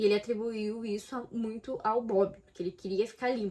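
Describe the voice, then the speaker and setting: Fairly quick speech from a woman, medium in pitch. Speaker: book vlogger. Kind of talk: casual vlog. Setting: home, late at night. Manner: whispering.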